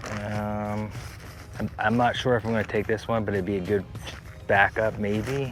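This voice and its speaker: Soft-spoken and fairly low, a man talks in a flat monotone with long, frequent pauses against noticeable background noise. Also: moderate pace. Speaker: hiking vlogger. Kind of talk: casual gear talk to camera. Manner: soft-spoken, talks quietly; halting, many fillers.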